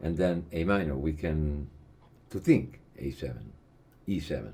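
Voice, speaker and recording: Audible room echo surrounds a man with an Italian accent who speaks fairly slowly in a very deep, low voice with a dark, mellow tone and ordinary pitch variation. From Italy. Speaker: jazz guitar teacher. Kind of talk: lecture. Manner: halting.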